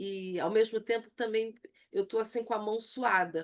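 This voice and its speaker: Fairly even intonation marks speech that unfolds at a fairly slow pace. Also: woman. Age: 60s. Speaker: church women's leadership teacher. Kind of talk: online lecture.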